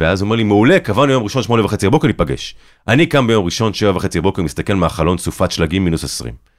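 Very fast and animated, a man speaks with vocal fry on a very clean recording with a silent background. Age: 30s. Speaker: documentary filmmaker and journalist. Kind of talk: interview conversation.

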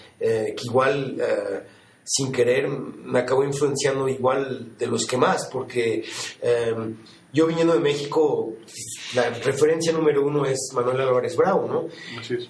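A man talks fairly slowly at a fairly high pitch, his intonation fairly even. Audible room echo and noticeable background noise come through. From Mexico City. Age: 40s. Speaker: photographer. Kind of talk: interview. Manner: halting.

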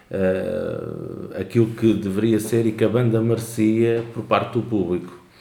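At a very slow pace, a man speaks in a dark, mellow tone with audible room echo. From Portugal, Lisbon area. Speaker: podcast co-host. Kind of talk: casual chat.

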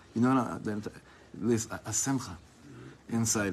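An American accent comes from a man with a fairly low pitch. His intonation is fairly even, and the room echo is audible. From US West Coast, Los Angeles. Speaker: rabbi. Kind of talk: Torah lecture.

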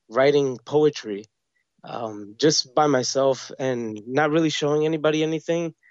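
An American-accented man speaks at a fairly slow pace. His pitch sits fairly high, with ordinary variation. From New York City (Queens). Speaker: screenwriter. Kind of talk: interview. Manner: halting, many fillers.

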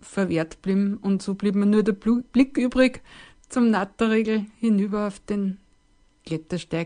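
A woman with an ordinary speaking voice talks at medium pitch and a fairly slow pace, her intonation fairly even against a quiet background. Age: 50s. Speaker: hiker sharing personal story. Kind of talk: personal testimony.

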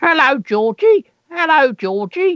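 A put-on character voice talks at a fairly slow pace. Its pitch is high, with very wide swings. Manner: funny, playful voice.

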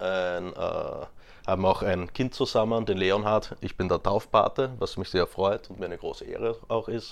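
Against a quiet background, a man is speaking. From Austria, Graz (Styria). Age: 20s. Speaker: interview guest. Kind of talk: casual interview. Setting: in person.

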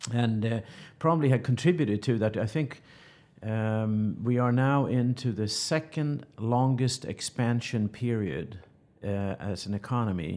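A man of medium pitch with a Swedish accent, ordinary pitch variation and a fairly slow pace, on a very clean recording with a silent background. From Sweden. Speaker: chemical company executive. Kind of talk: business interview. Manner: halting, many repeated words.

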